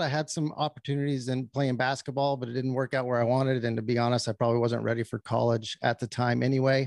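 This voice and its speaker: A man's medium-pitched voice at a very fast pace, with hardly any pauses and a dry, close sound with no echo. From New Mexico. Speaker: retiring army ranger. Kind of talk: interview.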